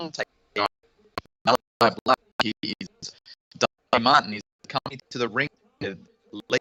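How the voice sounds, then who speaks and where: A man speaks with an Australian accent at medium pitch in a bright, sharp tone. The sound is dry and close, with no echo. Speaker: guest co-host of wrestling live reaction stream. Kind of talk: live watch-along commentary. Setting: live stream.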